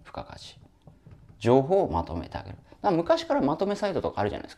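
A man races through his lines very fast, with a quiet background behind him. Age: 40s. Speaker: online business coach; business coach. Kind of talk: lecture-style solo video talk. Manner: casual, talkative, joking. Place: home room. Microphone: lapel.

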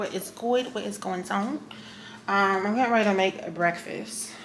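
There is noticeable background noise. A woman speaks at a fairly slow pace with ordinary pitch variation. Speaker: vlogger. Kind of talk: casual vlog chat. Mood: relaxed, chatty. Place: kitchen. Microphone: phone near.

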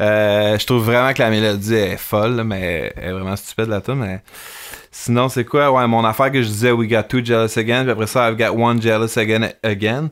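With a Quebec accent, a man talks at a fairly quick pace and medium pitch. The intonation is fairly even, and background noise is noticeable. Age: 40s. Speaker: musician. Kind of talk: casual chat.

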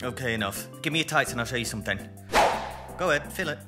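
The speech moves at a very fast pace. Loud music plays in the background. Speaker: voice-over artist. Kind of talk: TV commercial read. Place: booth.

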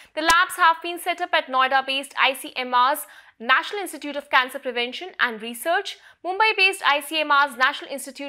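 A raised, projected voice with a bright, sharp tone and an Indian accent carries lively intonation at a moderate pace. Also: woman. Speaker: news presenter. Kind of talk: news reading, formal scripted health bulletin. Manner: formal; steady, measured, even-paced delivery.

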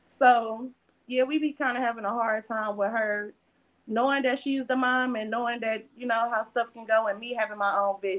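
With a normal speaking voice, a woman talks at a moderate pace, her fairly high pitch held in fairly even intonation. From Milwaukee, Wisconsin; Wisconsin. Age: 20s. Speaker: actress. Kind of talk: casual chat. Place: home room. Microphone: video call.

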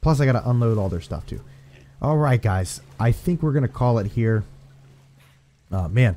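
Speaking in an American accent, a man with a medium pitch and a dark, mellow, somewhat breathy tone uses lively intonation and long, frequent pauses. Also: moderate pace. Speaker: gaming youtuber. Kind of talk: gameplay commentary. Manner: animated.

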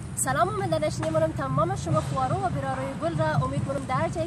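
A woman at a fairly quick pace, dry with no echo, over loud background noise. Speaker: poetry reciter. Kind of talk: casual talk to camera. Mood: warm, smiling. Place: garden. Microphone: camera far.

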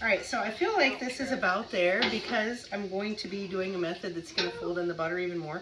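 A woman speaks at a fairly quick pace and medium pitch, her tone bright and sharp, her intonation lively, with faint background noise.

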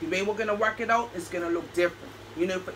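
A woman speaks in an animated tone with ordinary pitch variation over light background noise. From Bermuda. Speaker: doll hobby vlogger. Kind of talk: casual vlog. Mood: cheerful, chatty.

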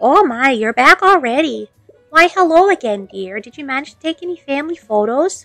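A woman's high-pitched voice at a moderate pace, with very wide pitch swings and big swings in loudness, a dry, close sound with no echo, and faint music in the background. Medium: game stream. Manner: warm, doting.

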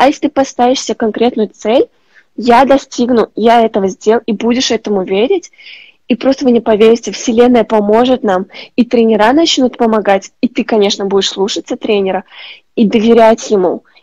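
A woman speaks at a moderate pace with a dark, mellow tone and ordinary pitch variation. The sound is dry with no echo against a quiet background. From Uzbekistan. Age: 20s. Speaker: rhythmic gymnast; guest. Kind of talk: interview. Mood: warm, grateful, motivational. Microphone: earbuds.

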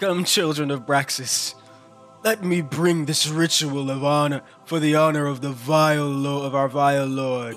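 Bellowing in a put-on character voice, a man speaks at a fairly high pitch and a moderate pace. Clear music plays in the background. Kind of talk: theatrical, ritual. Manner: bellowing, menacing.

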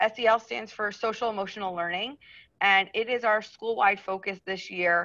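Over a quiet background, a woman speaks at a moderate pace in a bright, sharp tone with ordinary pitch variation. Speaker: teacher hosting a parent meeting. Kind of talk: meeting introduction. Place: home room. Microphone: video call.

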